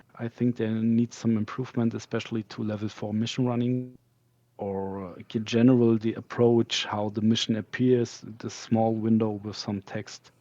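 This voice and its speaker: A man with a non-native accent talks at a fairly slow pace in a dark, mellow tone. The sound is dry and close with no echo. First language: not English. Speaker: game community candidate. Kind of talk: interview. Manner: halting.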